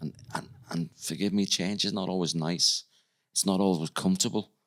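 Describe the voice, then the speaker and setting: This man has a Liverpool accent and a very deep, low pitch. He speaks at a fairly quick pace in a monotone, flat intonation. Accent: Scouse (Liverpool). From Liverpool, England. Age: 60s. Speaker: psychic medium. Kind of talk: podcast interview.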